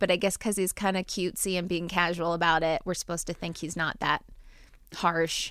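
A woman with a slight New Jersey accent and a medium pitch talks at a fairly quick pace in a very clean recording with a silent background. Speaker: podcast host. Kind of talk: casual chat.

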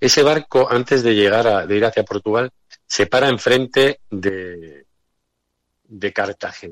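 With ordinary pitch variation and a fairly slow pace, a man speaks at medium pitch in a dry, close sound with no echo. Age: 50s. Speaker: historical memory activist. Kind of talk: radio interview. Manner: halting.

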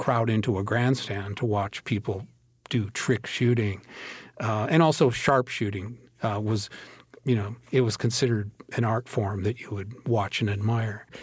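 Somewhat breathy, a man with an American accent speaks at a medium pitch and moderate pace with fairly even intonation on a very clean recording with a silent background. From US Midwest, Minnesota. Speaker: historian and author. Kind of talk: interview.

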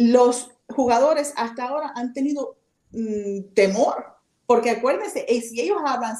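Lively intonation at a moderate pace. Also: woman. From Miami, Florida, Cuban-American family. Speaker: baseball players' agent. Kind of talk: casual chat.

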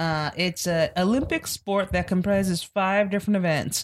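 A woman has an unremarkable speaking voice, fairly low in pitch, at a moderate pace. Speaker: podcast co-host. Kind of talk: casual chat.

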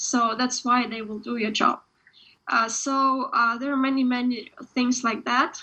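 Speaking at a fairly slow pace, a woman with a Ukrainian accent uses a high pitch and a monotone, flat intonation. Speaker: author. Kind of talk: interview. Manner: halting.

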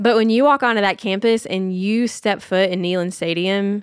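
With a Tennessee accent, a woman talks at a fairly quick pace in a medium-pitched voice. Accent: Southern US (Tennessee). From US South, Nashville, Tennessee. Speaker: nonprofit founder, mother. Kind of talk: casual interview chat. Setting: in person at their farm.

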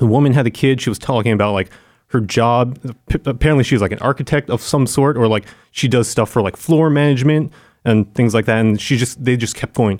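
Very fast speech with an American accent and ordinary pitch variation, dry and close with no echo, on a very clean recording with a silent background. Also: man, medium pitch for a man. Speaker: video producer, former games media staffer. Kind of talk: casual chat. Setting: studio.

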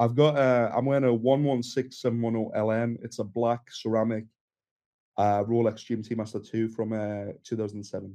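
In a Geordie accent, a man speaks at a moderate pace and medium pitch, with a dark, mellow tone and flat, monotone intonation. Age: 20s. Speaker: instagram creator. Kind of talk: casual chat.

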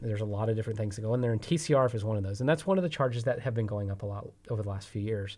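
With a Texan accent, a man talks at a very fast pace with hardly any pauses, his medium pitch carrying a dark, mellow tone, somewhat breathy and with ordinary pitch variation. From Texas. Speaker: energy company executive. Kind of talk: interview.

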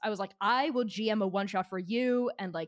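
A woman with a plain, everyday voice and an American accent talks at a fairly quick pace and fairly high pitch, with ordinary pitch variation, in a dry, close sound with no echo. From Shanghai, China and Boston. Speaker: game designer and game master. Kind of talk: casual chat.

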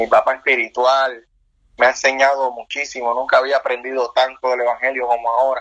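Speaking at a fairly quick pace, a man keeps his medium-pitched voice in a monotone, flat intonation. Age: 30s. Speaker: pastor. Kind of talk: interview testimony.

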